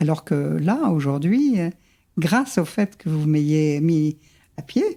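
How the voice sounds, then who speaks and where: A woman's very deep, low voice with a dark, mellow tone, lively intonation and a very slow pace. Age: 70s. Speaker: psychogenealogist. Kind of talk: interview.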